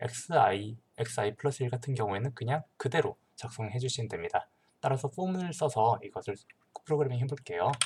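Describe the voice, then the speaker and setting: The speaker is a man with a medium-pitched voice that is somewhat breathy. His pitch varies in an ordinary way. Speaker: teaching assistant. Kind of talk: tutorial. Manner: hesitant, many fillers.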